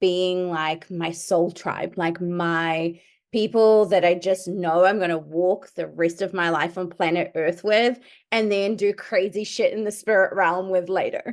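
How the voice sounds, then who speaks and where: Against a quiet background, a woman with a New Zealand accent speaks at a fairly slow pace and medium pitch in an animated tone. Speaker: podcast host and medium. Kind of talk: podcast interview.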